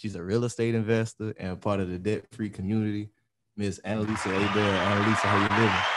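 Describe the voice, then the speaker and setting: Over loud background noise, a man with a fairly low voice talks very fast. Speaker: podcast host. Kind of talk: casual chat. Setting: studio. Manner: animated. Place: studio. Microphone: studio mic.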